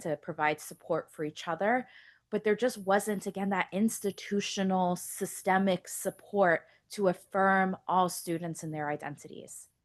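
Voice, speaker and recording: Pitched medium, a woman speaks with an American accent. Her pace is moderate, with ordinary pitch variation. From US West Coast, Contra Costa County, California. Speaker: community college trustee. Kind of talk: public comment speech at board meeting. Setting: public board meeting with microphone.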